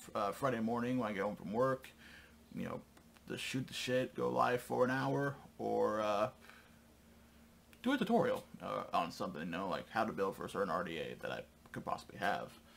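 With light background noise behind him, a man talks at a fairly quick pace. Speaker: channel host. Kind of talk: casual vlog chat. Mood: calm, slightly concerned. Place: home room.

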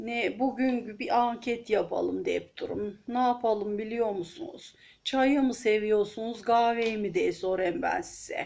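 A very slow pace with hardly any pauses, lively intonation and an Aegean accent. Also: woman, fairly high pitch for a woman. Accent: Aegean Turkish dialect. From Aegean region of Turkey. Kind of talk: casual talk to camera. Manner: chatty, friendly.

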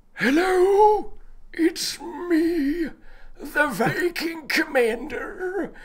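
A put-on character voice speaks at an extremely high pitch and a very slow pace.

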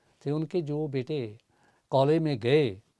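Very slowly and in a dark, mellow tone, a man speaks on a dry recording with no echo and a quiet background. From Punjab, India (Pathankot); Punjab, India. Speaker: poet and lyricist; poet. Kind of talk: interview. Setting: studio. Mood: warm, reflective. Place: studio. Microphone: lapel.

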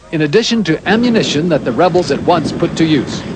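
There is noticeable background noise as a man talks at a fairly quick pace. His voice is high, with ordinary pitch variation. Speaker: TV news correspondent. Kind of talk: 1980s TV news report, scripted broadcast narration. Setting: recorded news broadcast. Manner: formal, measured and authoritative, brisk even delivery; crisp, clipped newsreader cadence with steady neutral tone.

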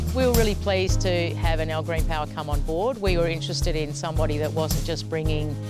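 A woman talks at a very fast pace with hardly any pauses. The sound is dry with no echo, and clear music plays in the background. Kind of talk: interview answer. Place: open country. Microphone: lapel.

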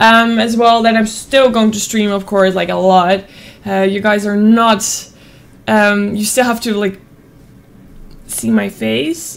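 A woman with a Dutch accent speaks at a fairly slow pace. Her pitch is fairly high, with ordinary pitch variation. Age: 20s. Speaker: streamer. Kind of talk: casual vlog talk. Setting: at home desk with webcam. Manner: animated. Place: home room. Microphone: studio mic.

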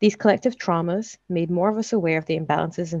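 In a dry recording with no echo and a quiet background, a woman talks at a very fast pace with a fairly low pitch and vocal fry. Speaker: conference presenter. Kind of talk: presentation talk. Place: home room. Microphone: headset.

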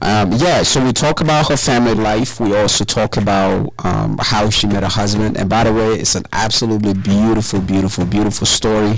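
A man with a fairly low pitch speaks at a fairly quick pace and very even loudness, with noticeable background noise behind him. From Ghana. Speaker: podcast host. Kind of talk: casual intro to camera. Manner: casual.

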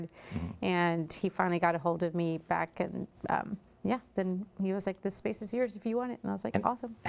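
A woman speaks with an American accent. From Texas. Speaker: restaurant owner; guest. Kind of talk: interview. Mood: relaxed, friendly. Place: studio. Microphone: lapel.

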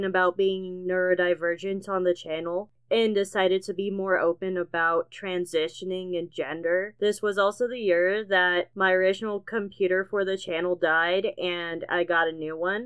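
A woman with an American accent and an ordinary speaking voice talks at a moderate pace and medium pitch, with hardly any pauses. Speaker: animator. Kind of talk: casual year-in-review narration.

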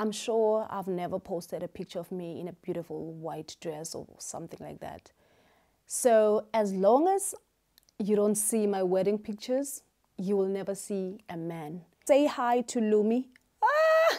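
Over a quiet background, a woman with a dark, mellow tone speaks at a fairly slow pace with ordinary pitch variation. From South Africa, Eastern Cape. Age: 30s. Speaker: YouTuber and beauty salon owner. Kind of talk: casual Q&A vlog. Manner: animated, energetic. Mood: cheerful, animated. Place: home room. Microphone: lapel.

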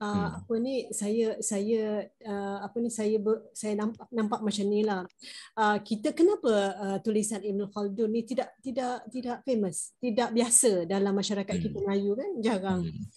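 Against a quiet background, a woman talks fairly slowly in a fairly high pitch, her dark, mellow tone somewhat breathy and her intonation fairly even. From Malaysia. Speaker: study circle participant. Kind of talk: discussion. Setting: video call. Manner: halting, many fillers. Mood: calm, reflective. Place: home room. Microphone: video call.

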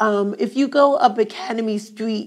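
Over a quiet background, a woman with a South Jersey accent speaks at a very slow pace. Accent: South Jersey American English. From Glassboro, New Jersey. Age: 70s. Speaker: oral history interviewee. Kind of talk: oral history interview answer. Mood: warm, nostalgic. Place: classroom.

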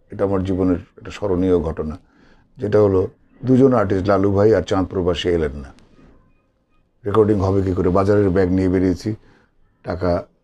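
A man speaks at a very deep, low pitch. His tone is dark and mellow. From Bangladesh. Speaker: voice actor. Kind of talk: interview answer. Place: home room. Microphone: phone near.

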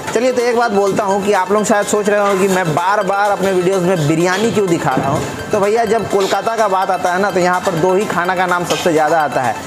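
Over clear background music, a man talks in a high pitch with fairly even intonation. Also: very even loudness. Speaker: food vlogger. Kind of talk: casual vlog chat. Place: shop. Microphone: lapel.

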